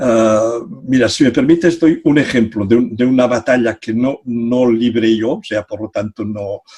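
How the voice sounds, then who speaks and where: With a dry, close sound and no echo, a man of medium pitch speaks fairly slowly, with ordinary pitch variation and hardly any pauses. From Catalonia. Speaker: psychology professor. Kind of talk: interview. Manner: halting.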